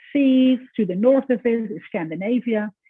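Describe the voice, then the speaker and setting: This woman has a Dutch accent and a fairly high pitch. She keeps a moderate pace. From Netherlands. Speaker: professor. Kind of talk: lecture.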